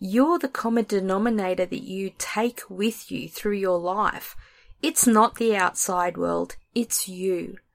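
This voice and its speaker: A woman speaks at a very slow pace in an Australian accent, her pitch medium with ordinary variation. The sound is dry and close with no echo, on a very clean recording over a silent background. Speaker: podcast host and author. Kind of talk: casual chat; reading aloud.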